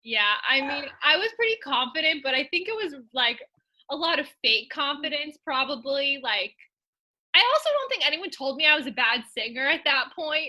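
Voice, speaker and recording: Raising and projecting her voice, a woman speaks at a high pitch with a bright, sharp tone and lively intonation. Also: moderate pace. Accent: American. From California. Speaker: podcast co-host and fitness coordinator. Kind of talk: casual interview chat.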